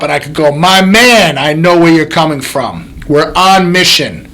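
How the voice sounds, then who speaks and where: The voice is loud, with ordinary pitch variation and a moderate pace. Noticeable background noise runs underneath. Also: man. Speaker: chiropractor and podcast host. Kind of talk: motivational podcast monologue. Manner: animated.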